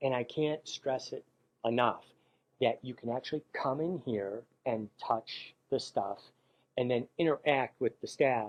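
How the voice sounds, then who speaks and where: With a plain, everyday voice, a man speaks at a moderate pace, his medium pitch carried by fairly even intonation. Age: 60s. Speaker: professional photographer. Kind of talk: promotional interview. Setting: camera store.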